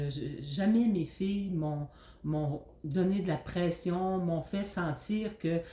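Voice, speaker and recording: A woman speaks in a fairly low pitch with a dark, mellow tone, somewhat breathy, with ordinary pitch variation. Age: 60s. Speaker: retired teacher and grandmother. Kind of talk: interview. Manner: hesitant.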